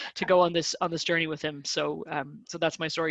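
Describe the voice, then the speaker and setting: With an Irish accent, a woman speaks at a fairly low pitch and fairly even intonation. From Ireland. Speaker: design consultancy director. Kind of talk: online webinar interview. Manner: hesitant, many repetitions.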